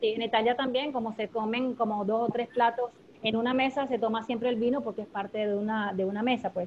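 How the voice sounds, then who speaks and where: With an unremarkable speaking voice, a woman talks fairly quickly at a fairly high pitch and with fairly even intonation. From Venezuela (Maracay). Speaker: former radio producer. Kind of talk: casual chat.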